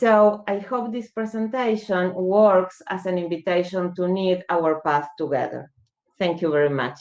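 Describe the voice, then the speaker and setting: A woman of medium pitch speaks slowly-ish, at a fairly slow pace, with a Spanish accent and ordinary pitch variation. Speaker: law professor. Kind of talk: conference talk.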